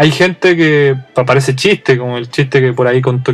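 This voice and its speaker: With a Chilean accent, a man talks very fast. His fairly high pitch keeps a fairly even intonation. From Chile, Santiago. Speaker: podcast host. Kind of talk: casual monologue.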